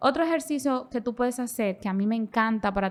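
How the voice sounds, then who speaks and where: The woman speaks with ordinary pitch variation. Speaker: podcast host and clinical psychologist. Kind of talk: conversational podcast explanation. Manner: fast; animated.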